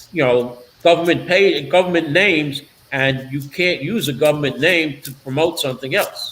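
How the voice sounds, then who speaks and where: A man with a Brooklyn accent and a fairly high pitch speaks at a moderate pace with ordinary pitch variation. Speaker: political talk show host. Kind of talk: casual interview chat.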